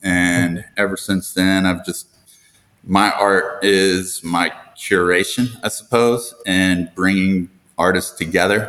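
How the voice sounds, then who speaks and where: A man speaks at a very slow pace in a very deep, low pitch. His tone is bright and sharp, his intonation flat and monotone. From Tennessee. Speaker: art gallery founder. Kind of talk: casual interview.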